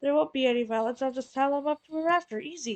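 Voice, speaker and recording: A woman uses a put-on character voice with a high pitch. She speaks at a very fast pace. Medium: solo performance. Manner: sly, flirty.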